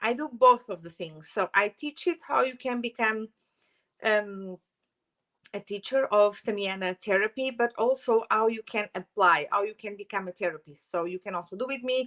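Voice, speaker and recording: A woman's fairly high, bright, sharp voice with a strong Portuguese accent, moderate pace and ordinary pitch variation, dry and close with no echo. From Portugal. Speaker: holistic therapist and Reiki teacher. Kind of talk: channel introduction vlog. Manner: hesitant, many fillers.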